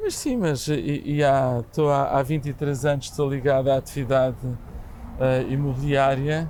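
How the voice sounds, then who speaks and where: A calm-toned man, fairly high in pitch, with monotone, flat intonation. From Portugal, Lisbon. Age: 60s. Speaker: real estate association president. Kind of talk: podcast interview. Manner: halting, many repetitions.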